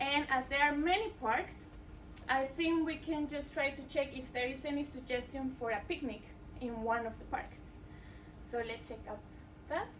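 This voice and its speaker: In a strong Mexican accent, a woman with a high pitch speaks at a moderate pace with ordinary pitch variation and long, frequent pauses, amid audible room echo. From Mexico. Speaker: coding bootcamp student. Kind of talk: product demo presentation. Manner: hesitant, many filler sounds.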